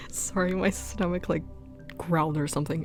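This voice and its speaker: Background music can be heard. The talking runs at a fairly quick clip. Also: woman. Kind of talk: casual rambling sleep-aid podcast, talking to the listener. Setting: recorded at home, propped on a shoebox, holding the mic. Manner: rambling, hesitant, excitable, with filler words and restarts.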